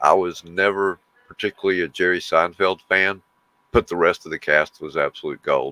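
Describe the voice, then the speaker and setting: With a Southern US accent, a man speaks at a moderate pace in a very deep, low pitch and a bright, sharp tone, his intonation fairly even, in a dry, close sound with no echo. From US South. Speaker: livestream co-host. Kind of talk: casual chat.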